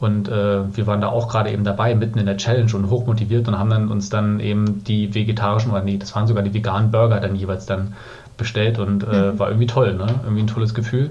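With audible room echo, a man talks at a very fast pace. His pitch is fairly low and his intonation monotone and flat. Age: 30s. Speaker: podcast guest, recent vegan. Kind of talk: casual interview chat.

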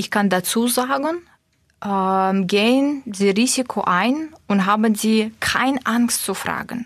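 A woman with a Russian accent talks very slowly, her fairly high pitch moving with ordinary variation. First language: Russian (speaking German). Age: 30s. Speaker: corporate manager. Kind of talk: interview. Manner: hesitant, frequent filler sounds.

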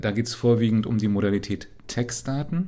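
A man speaks at a moderate pace with a fairly low pitch. His tone is dark and mellow. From Berlin, eastern Germany. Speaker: computer science professor. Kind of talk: interview. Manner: hesitant, many fillers.

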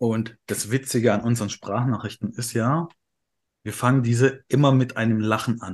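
Against a quiet background, the speaker uses an ordinary speaking voice with fairly even intonation at a moderate pace. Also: man, medium pitch for a man. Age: 30s. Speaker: podcast co-host. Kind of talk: casual chat.

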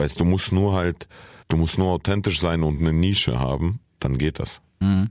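A man speaks in a very deep, low register. His loudness stays very even throughout. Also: ordinary pitch variation, moderate pace. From Saarland, Germany (born in Kyrgyzstan). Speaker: comedian and rapper. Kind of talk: casual chat.

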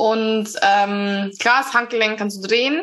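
A woman speaks at a fairly high pitch in a bright, sharp tone. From Bavaria, Upper Palatinate. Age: 20s. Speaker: amputee, prosthesis user. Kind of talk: casual interview.

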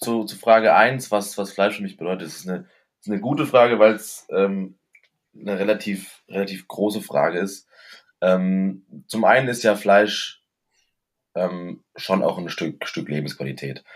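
In a very clean recording with a silent background, a man speaks at a fairly low pitch and a fairly slow pace. His loudness swings widely while his pitch varies normally. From Stuttgart, Germany. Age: 20s. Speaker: master butcher. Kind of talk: casual interview. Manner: halting, many fillers.

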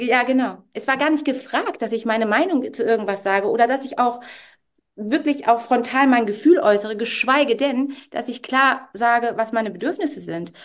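A woman speaks at a moderate pace in a high voice. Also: ordinary pitch variation. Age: 40s. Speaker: stylist and coach. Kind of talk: podcast interview.

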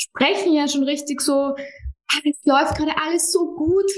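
A woman talks at a high pitch. Her intonation is fairly even. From Austria, Vienna. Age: 30s. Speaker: psychologist and business founder. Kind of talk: interview. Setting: remote call.

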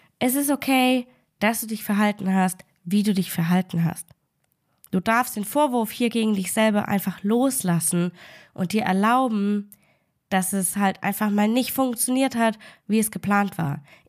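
A woman's medium-pitched voice with a warm, upbeat tone and ordinary pitch variation, at a fairly slow pace with long, frequent pauses. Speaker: food and life coach, podcast host. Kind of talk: pep talk, direct motivational address to the listener. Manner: warm, encouraging, emphatic, upbeat; direct, repeating key phrases for emphasis.

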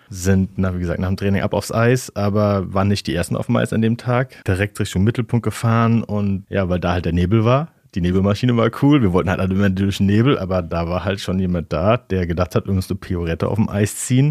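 Recorded very cleanly against a silent background, an ordinary speaking voice with a dry, close sound and no echo moves at a fairly quick pace, with hardly any pauses and ordinary pitch variation. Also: man, fairly low pitch for a man. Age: 30s. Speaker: interview guest. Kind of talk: casual interview. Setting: studio.

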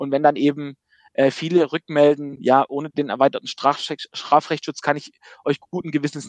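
Recorded with a dry, close sound with no echo and a quiet background, the speech moves at a moderate pace. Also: man. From Baden-Württemberg. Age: 30s. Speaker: insurance company managing director. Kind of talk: interview.

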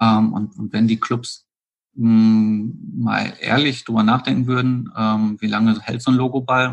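Medium pitch and fairly even intonation from a man. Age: 40s. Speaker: golf accessories entrepreneur. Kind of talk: interview. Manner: hesitant, many filler sounds.

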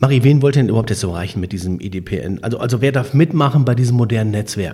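A man speaks at a very fast pace, somewhat breathy, in a dark, mellow tone. His pitch is medium, with ordinary variation. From Münsterland, Germany. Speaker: podcast host. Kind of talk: casual interview.

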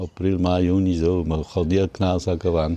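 A man's very deep, low voice at a moderate pace, dark and mellow in tone. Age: old. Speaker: deer park keeper. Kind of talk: casual interview. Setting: outdoors.

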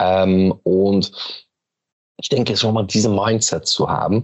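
A man talks with a fairly low pitch. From Belgium. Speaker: company managing director. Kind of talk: interview conversation. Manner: hesitant, many fillers.

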